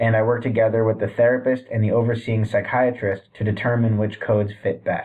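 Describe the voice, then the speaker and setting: An unremarkable speaking voice, this man with an American accent talks fairly quickly at a medium pitch with fairly even intonation. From US Northeast (Boston, Massachusetts). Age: 30s. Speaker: student and addiction case manager. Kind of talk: class introduction video. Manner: formal.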